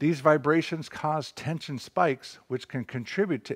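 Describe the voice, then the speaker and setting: A man speaks at a fairly slow pace with vocal fry. The background is quiet. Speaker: presenter. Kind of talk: tutorial. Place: garage. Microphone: lapel.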